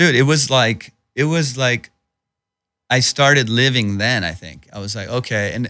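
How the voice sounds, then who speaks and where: Bright, sharp tone from a man, captured in a very clean recording against a silent background. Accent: Southern California. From Iran, raised in Southern California. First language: Persian (Farsi). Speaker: stand-up comedian and actor. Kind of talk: casual interview chat. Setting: studio. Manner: casual, informal, profane.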